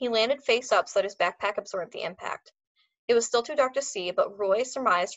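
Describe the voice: Someone is doing plain reading aloud. It is quiet in the background.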